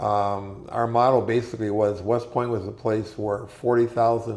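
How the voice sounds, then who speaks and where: Flat, monotone delivery at a moderate pace in an Upper Midwest accent, with audible room echo. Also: man. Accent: Upper Midwest American. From Minnesota, Minneapolis. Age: 70s. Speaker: war veteran. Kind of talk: interview.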